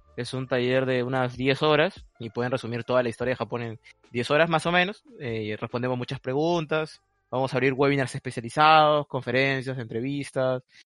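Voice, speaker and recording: The sound is dry and close, with no echo. The pace is fairly quick, with music playing in the background. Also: man, medium pitch for a man. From Peru. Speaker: Japanese studies researcher. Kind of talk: casual interview.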